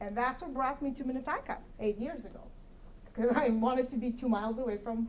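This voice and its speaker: A Russian accent amid noticeable background noise and audible room echo. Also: woman. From Kyrgyzstan. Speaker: commission applicant, accountant. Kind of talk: interview answer at public meeting. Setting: city council meeting room.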